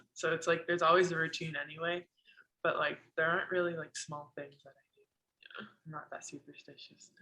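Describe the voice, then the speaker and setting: Bright, sharp tone in an American accent, monotone and flat, fairly quick yet broken by long, frequent pauses. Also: woman, fairly low pitch for a woman, big swings in loudness. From US, northern California (Moraga). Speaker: college basketball player. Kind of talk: casual interview. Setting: video call.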